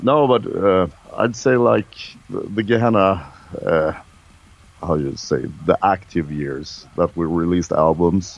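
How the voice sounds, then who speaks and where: Very deep and low, a man's voice moves at a fairly slow pace with lively intonation and long, frequent pauses. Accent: Swedish. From Sweden. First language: Swedish. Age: 50s. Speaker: metal musician. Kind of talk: interview.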